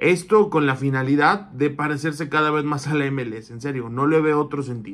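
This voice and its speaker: Speaking with hardly any pauses, this man holds a moderate pace. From Mexico. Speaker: football commentator. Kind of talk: opinion monologue. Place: home room. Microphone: phone near.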